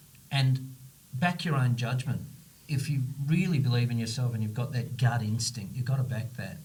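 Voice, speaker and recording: Audible room echo hangs around this man's voice. He talks at a medium pitch with ordinary pitch variation. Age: 60s. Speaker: company CEO and founder. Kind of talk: podcast interview. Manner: animated.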